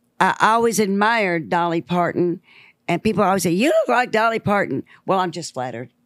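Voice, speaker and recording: Speaking at a fairly quick pace in a Southern US accent, a woman uses a medium pitch and lively intonation, the sound dry and close with no echo. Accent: Southern twang. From US South, Memphis, Tennessee. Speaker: musician. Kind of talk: casual chat. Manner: animated.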